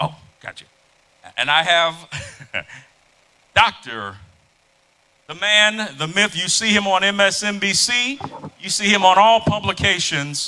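A man with a high voice speaks in a raised, projected way with an animated tone and ordinary pitch variation. His pace is fairly slow, with long, frequent pauses. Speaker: event moderator. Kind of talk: live event moderation. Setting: stage with audience. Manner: loud.

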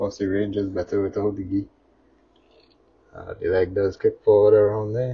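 Soft-spoken and somewhat breathy, a man with a fairly low pitch talks at a moderate pace in a monotone, flat intonation, with big swings in loudness and long, frequent pauses. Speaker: toy reviewer. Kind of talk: product review.

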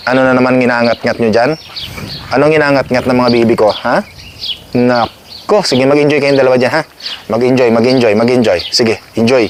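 A man talks at a medium pitch and a fairly quick pace with very even loudness. Noticeable background noise sits behind him. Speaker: vlogger. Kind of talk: casual vlog. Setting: outdoors. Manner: animated.

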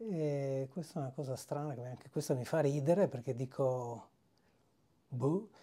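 A somewhat breathy man speaks at a fairly slow pace with long, frequent pauses and a fairly high pitch of ordinary variation. The recording is very clean, with a silent background. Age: 50s. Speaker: fasting retreat participant. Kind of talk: testimony. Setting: video diary at a retreat.

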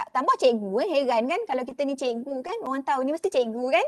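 A woman talks in a high pitch with lively intonation at a moderate pace. The background is quiet. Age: 40s. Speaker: university lecturer in education. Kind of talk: lecture. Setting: online webinar. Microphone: video call.

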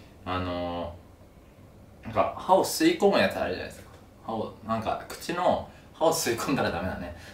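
The speech moves at a moderate pace with audible room echo. Light background noise can be heard. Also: man. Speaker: vlogger. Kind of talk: casual vlog storytelling. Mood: amused, exasperated anecdote. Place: home room. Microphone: camera far.

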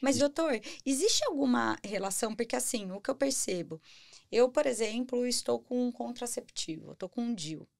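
A woman talks at a moderate pace in a high pitch. Her intonation is lively, and the background is quiet. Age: 30s. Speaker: podcast host. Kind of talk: casual interview. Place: studio. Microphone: studio mic.

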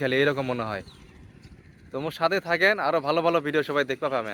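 A man with a northern Bangladeshi accent and ordinary pitch variation. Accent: northern Bangladeshi dialect of Dinajpur. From Bangladesh, Dinajpur. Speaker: village vlogger. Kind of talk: casual vlog walkthrough. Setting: outdoors.

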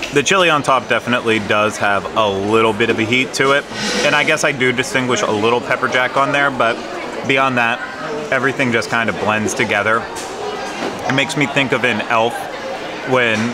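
A man speaks at a fairly quick pace with clear music playing in the background. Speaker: food vlogger. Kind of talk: casual vlog chat. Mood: playful, joking. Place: hall. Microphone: phone near.

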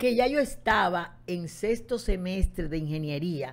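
A woman at a fairly slow pace, her pitch swinging very widely, on a very clean recording with a silent background. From Dominican Republic, Santo Domingo. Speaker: meteorologist. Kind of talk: interview. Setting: studio.

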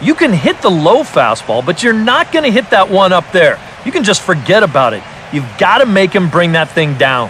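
A man speaks at a high pitch with very wide pitch swings. His pace is moderate, and there is noticeable background noise. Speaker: baseball color commentator. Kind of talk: live sports commentary (video game audio). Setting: studio.

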